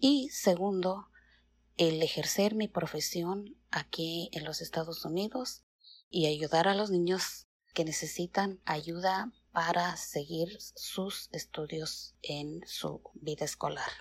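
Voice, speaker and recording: Speaking at a very slow pace, a woman uses a fairly low pitch with vocal fry and ordinary pitch variation. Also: very clean recording, silent background. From Mexico City. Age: 50s. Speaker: teacher. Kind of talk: recorded personal biography. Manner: formal.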